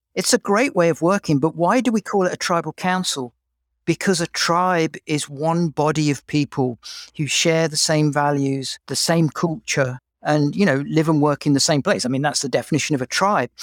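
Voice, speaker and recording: In an English accent, the speaker uses ordinary pitch variation, with a dry, close sound with no echo and a very clean recording over a silent background. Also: man, fairly high pitch for a man, moderate pace. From England. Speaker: HR executive. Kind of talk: interview conversation.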